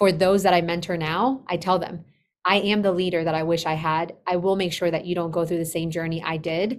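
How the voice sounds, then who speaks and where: A woman's fairly low voice in a Spanish accent, fairly quick and fairly even in intonation, on a very clean recording with a silent background. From Colombia, moved to US at age eight. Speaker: business operations consultant. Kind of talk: podcast interview.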